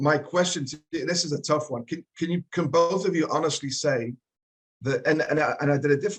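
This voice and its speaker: A man's somewhat breathy voice at a fairly quick pace, fairly even in intonation, dry and close with no echo. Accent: Geordie. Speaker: travel tech executive, co-host. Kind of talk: panel discussion.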